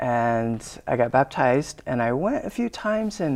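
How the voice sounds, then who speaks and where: The background stays quiet. Here a man talks in an American accent. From Arizona, US. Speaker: church member sharing faith story. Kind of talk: testimony. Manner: halting.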